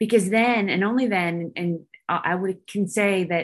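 A woman with an American accent speaks in a normal speaking voice at a medium pitch and a moderate pace. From Northern California. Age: 40s. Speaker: retired army officer and filmmaker. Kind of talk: interview conversation.

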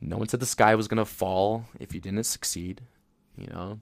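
Very clean recording with a silent background, featuring a man with a fairly low pitch. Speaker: spiritual tarot reader, livestream host. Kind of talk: casual spiritual monologue. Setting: livestream, audio only. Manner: laughs often, filler-heavy.

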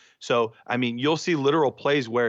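A man speaks at a moderate pace in a plain, everyday voice of medium pitch. His intonation is fairly even, and the background is quiet. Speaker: dynasty fantasy football analyst. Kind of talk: casual banter and discussion.

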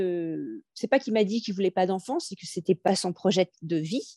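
A woman talks at a moderate pace at medium pitch, with ordinary pitch variation. It is a plain, everyday voice. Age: 40s. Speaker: new mother, sales manager. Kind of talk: interview testimony.

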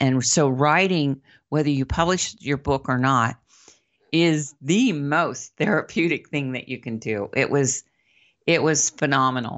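A woman speaks at a fairly slow pace in a very deep, low voice. Her pitch varies in an ordinary way. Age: 60s. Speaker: abuse survivor and advocate, keynote speaker. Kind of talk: interview testimony.

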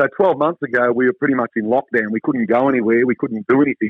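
Speaking at a fairly quick pace with ordinary pitch variation, a man has a slightly husky edge, and the sound is dry and close with no echo.

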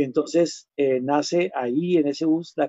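This man speaks at a fairly high pitch with fairly even intonation. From Colombia, Huila. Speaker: singer-songwriter and music teacher. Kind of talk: interview conversation. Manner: halting.

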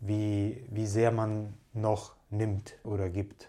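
A man with a Russian accent speaks in a fairly low, dark, mellow voice that is somewhat breathy. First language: Russian (speaking German). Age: 30s. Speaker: entrepreneur and long-distance hiker. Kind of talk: casual interview. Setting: pub or bar.

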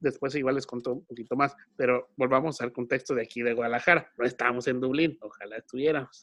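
A medium-pitched man at a very fast pace. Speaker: podcast host. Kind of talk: casual chat. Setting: recording from home.

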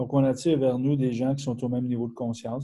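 The voice carries a Quebec accent. Its tone is dark and mellow, somewhat breathy. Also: man. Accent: Québécois French. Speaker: webinar host, personal development. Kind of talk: webinar interview. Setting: online webinar.

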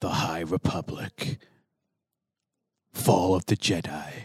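A man puts on a character voice with a dramatic tone. His pitch is very deep and low, and his pace is fairly slow. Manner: dramatic, announcer-like.

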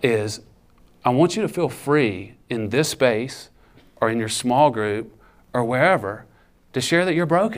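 Over audible room echo, a man speaks at a fairly slow pace with lively intonation. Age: 40s. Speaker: campus ministry speaker. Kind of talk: sermon. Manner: animated.

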